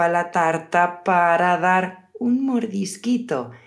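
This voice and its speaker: A woman with a fairly low pitch, lively intonation and a very slow pace, amid noticeable background noise and audible room echo. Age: 30s. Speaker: podcast host, Spanish teacher. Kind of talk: casual chat for language learners. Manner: slower than usual pace.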